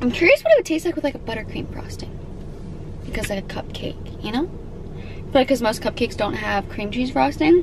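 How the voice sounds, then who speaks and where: Speaking at a fairly quick pace, a woman with a high pitch shows big swings in loudness, heard dry with no echo against noticeable background noise. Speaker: food reviewer vlogger. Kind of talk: casual vlog chat. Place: car. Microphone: camera far.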